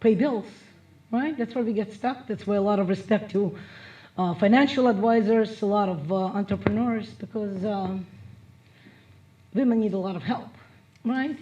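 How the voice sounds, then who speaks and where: A woman's somewhat breathy, fairly high voice, dark and mellow in tone, with a Russian accent. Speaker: motivational speaker. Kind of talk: motivational speech.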